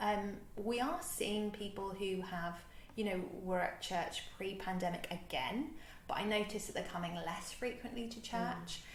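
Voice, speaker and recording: A bubbly woman's voice with a London accent, medium pitch, ordinary pitch variation and a moderate pace. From London, England. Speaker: reverend, church minister. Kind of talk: interview answer.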